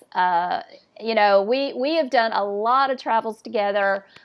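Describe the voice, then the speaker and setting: A woman with a Southern US accent and ordinary pitch variation. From US South. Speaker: podcast host. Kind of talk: casual chat.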